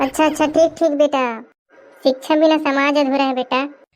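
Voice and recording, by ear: A woman does a cartoonish character voice at a high pitch and moderate pace, her intonation monotone and flat.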